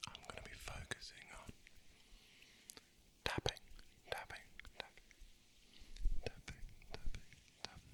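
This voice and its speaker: Noticeable background noise sits under a whisper that moves at a moderate pace, broken by long, frequent pauses. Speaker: ASMR creator. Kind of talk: ASMR trigger intro. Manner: whispered.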